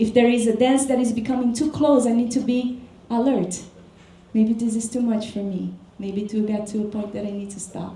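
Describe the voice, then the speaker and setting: A woman with a Portuguese accent and fairly even intonation, amid noticeable background noise and audible room echo. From Brazil. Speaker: dance teacher. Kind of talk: workshop talk. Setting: workshop with audience.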